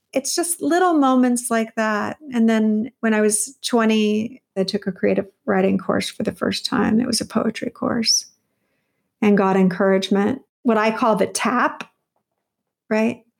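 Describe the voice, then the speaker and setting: A woman with an unremarkable speaking voice and an American accent speaks fairly slowly at a fairly high pitch, with ordinary pitch variation and very even loudness. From California. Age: 50s. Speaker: novelist. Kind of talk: interview.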